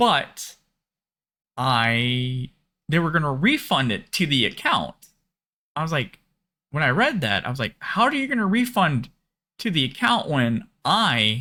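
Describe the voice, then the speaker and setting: Speaking fairly slowly with a Minnesotan accent, a man uses a bright, sharp tone and very wide pitch swings, leaving long, frequent pauses on a very clean recording with a silent background. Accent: Minnesota. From Minnesota, US. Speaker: bitcoin YouTuber. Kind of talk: casual storytelling. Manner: halting, many fillers.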